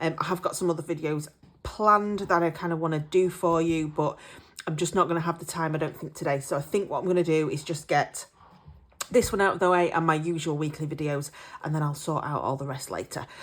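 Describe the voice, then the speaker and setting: At a very fast pace, a woman speaks with an English accent. Her pitch is fairly low and her intonation fairly even. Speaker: budgeting vlogger. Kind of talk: casual vlog chat. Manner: hesitant, many fillers.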